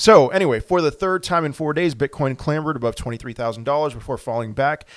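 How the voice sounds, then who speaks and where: A man at a fairly quick pace, with ordinary pitch variation, dry sound with no echo and a quiet background. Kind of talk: commentary. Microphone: webcam.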